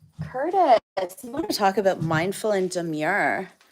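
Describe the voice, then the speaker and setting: Her tone animated, a woman with a Canadian accent speaks at a fairly slow pace with very wide pitch swings. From Ontario, Canada. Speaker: farm livestreamer. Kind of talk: casual livestream chat. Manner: chatty, animated.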